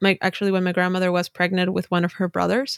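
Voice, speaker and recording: Very clean and silent in the background, the recording has a dry, close sound with no echo, carrying a voice in a Spanish accent with monotone, flat intonation. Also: woman. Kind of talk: casual interview.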